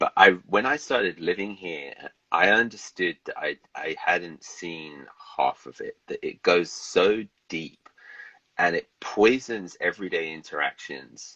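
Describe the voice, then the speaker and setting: The speaker uses a British accent at a fairly slow pace. Loudness swings widely. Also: man. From England, London. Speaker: novelist. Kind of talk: casual interview chat. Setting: livestream video call.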